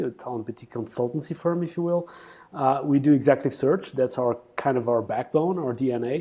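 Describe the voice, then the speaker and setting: This man has a fairly high pitch, ordinary pitch variation and a dark, mellow tone. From Portugal. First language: Portuguese. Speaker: executive recruitment CEO. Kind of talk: interview.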